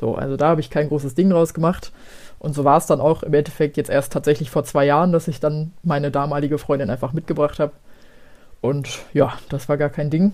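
Her intonation is fairly even, with a dark, mellow tone. This woman's pitch is very deep and low. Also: fairly quick pace. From Germany, Ruhr area (Gelsenkirchen). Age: 20s. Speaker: teacher and social media creator. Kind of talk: casual chat.

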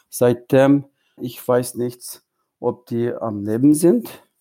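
On a very clean recording with a silent background, a man speaks at a medium pitch in a dark, mellow tone with fairly even intonation. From East Turkestan (Xinjiang), Hotan. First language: Uyghur (speaking German). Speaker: Uyghur diaspora activist. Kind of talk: interview. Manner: halting, mixes in English words.

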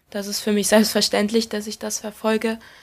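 In a very clean recording with a silent background, a woman speaks at medium pitch. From Saxony, Erzgebirge (Germany). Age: 20s. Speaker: professional footballer. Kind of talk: interview.

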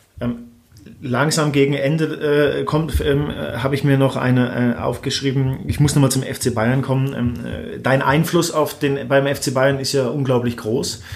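Over noticeable background noise and audible room echo, a man speaks fairly slowly at a medium pitch with fairly even intonation. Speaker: podcast host. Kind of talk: casual interview. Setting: office, creaking leather chairs.

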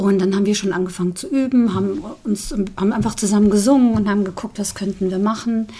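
Over noticeable background noise, a woman talks very fast at a medium pitch with fairly even intonation. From Saarland, Saarbrücken. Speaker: singer. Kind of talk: casual interview chat.

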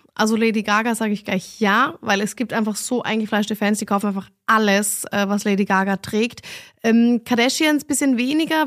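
A woman with an ordinary speaking voice talks at a fairly quick pace, her fairly high pitch kept in fairly even intonation. The recording is very clean, with a silent background. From Vienna, Austria. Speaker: fashion designer and entrepreneur. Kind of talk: interview answers, casual conversation.

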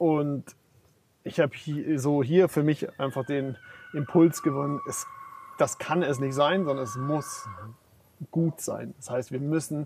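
A man with a fairly high voice speaks at a very slow pace. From Bavaria, Germany. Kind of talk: interview. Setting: outdoors on a farm.

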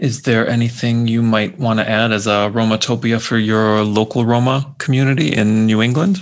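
With a plain, everyday voice, a man of medium pitch talks at a moderate pace with hardly any pauses, very even loudness, and ordinary pitch variation. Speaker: podcast co-host. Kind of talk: interview conversation.

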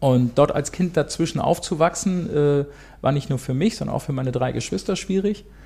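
A man speaks at a moderate pace with a fairly high pitch. His tone is dark, mellow and somewhat breathy. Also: ordinary pitch variation. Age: 50s. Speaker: steel construction business owner. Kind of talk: interview. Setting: in person, across the table.

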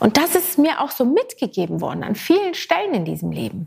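A woman's fairly high, fairly quick voice with vocal fry. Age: 40s. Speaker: podcast host. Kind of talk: solo podcast monologue. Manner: animated.

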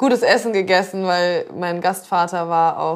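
A woman with a fairly low voice speaks at a moderate speed. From northern Germany, Zeven between Bremen and Hamburg. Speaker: chef, podcast co-host. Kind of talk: casual chat.

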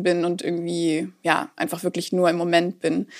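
A woman's fairly low-pitched voice. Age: 20s. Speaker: political education worker and social work student. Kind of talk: casual interview, telling a dating story.

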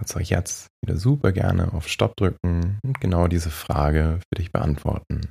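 A man speaks in a very deep, low pitch with a calm, gentle, dark and mellow tone. His voice is somewhat breathy with lively intonation, recorded dry and close with no echo. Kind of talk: guided meditation, soothing. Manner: slow, calm, soft-spoken, meditative; long pauses, hushed gentle guidance.

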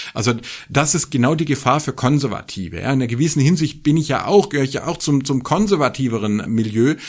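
On a very clean recording with a silent background, a man talks very fast. His pitch is fairly high and varies in an ordinary way. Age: 40s. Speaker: religion scholar and podcast co-host. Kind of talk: casual chat. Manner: animated.

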